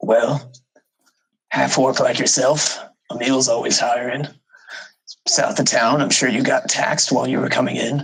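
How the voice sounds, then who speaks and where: A man puts on a raspy character voice at a medium pitch. He keeps a moderate pace, broken by long, frequent pauses. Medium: actual play. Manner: plainspoken, folksy, clipped sentences.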